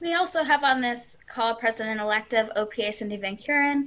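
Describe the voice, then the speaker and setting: A woman speaks with an American accent in a bright, sharp tone. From US Midwest. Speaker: psychologist and facilitator. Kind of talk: moderated discussion. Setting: video call. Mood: friendly, smiling. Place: home room. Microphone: video call.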